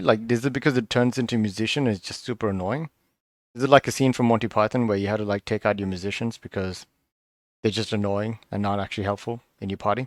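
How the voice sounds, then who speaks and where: A quiet man's voice with ordinary pitch variation, dry and close with no echo, on a very clean recording against a silent background. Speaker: card game video reviewer. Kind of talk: casual solo review commentary. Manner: tongue-tied, halting.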